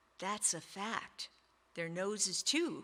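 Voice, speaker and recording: This female-sounding, put-on character voice sits at a middle pitch and comes through a very clean recording with a silent background. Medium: read story. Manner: courteous, easygoing.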